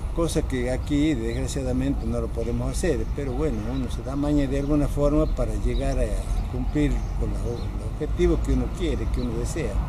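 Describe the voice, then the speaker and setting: At a moderate pace and with hardly any pauses, a man keeps talking as noticeable background noise goes on around him. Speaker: masters athlete. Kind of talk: interview answer. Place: stadium.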